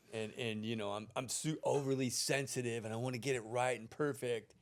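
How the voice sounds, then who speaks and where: A man talks in an unremarkable speaking voice at a medium pitch. His pace is moderate. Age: 60s. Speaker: podcast host and actor. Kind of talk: casual chat.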